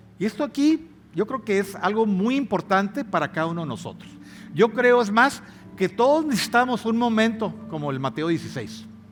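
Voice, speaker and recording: Here a man talks at a moderate pace. His voice is high, with lively intonation. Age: 60s. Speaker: pastor. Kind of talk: sermon. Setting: church.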